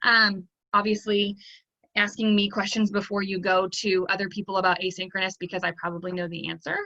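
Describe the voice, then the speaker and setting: At a fairly quick pace, a woman talks with medium pitch in a monotone, flat intonation. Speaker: online teacher and trainer. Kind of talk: training session. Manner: fast.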